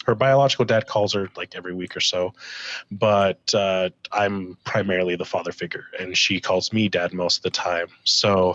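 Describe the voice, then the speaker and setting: A normal speaking voice from a man, fairly low in pitch, at a moderate pace, with fairly even intonation. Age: 20s. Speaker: podcast guest, stepfather. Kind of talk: casual podcast chat.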